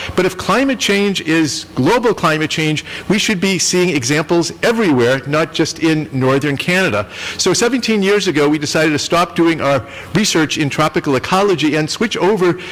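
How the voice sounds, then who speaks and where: A high-pitched man talks at a moderate pace with lively intonation and very even loudness. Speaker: biology professor. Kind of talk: lecture. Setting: stage with audience. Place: hall.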